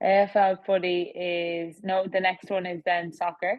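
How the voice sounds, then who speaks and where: A woman talks in an Irish accent with a fairly low pitch. Her pace is fairly slow and her intonation is flat and monotone. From Ireland. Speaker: professional athlete. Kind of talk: interview.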